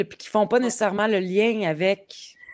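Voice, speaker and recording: Fairly quick in pace, a woman speaks with ordinary pitch variation. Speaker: podcast host. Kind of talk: casual interview.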